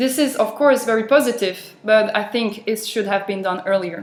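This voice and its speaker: With a French accent, a woman talks using ordinary pitch variation. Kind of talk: speech for interpreting practice.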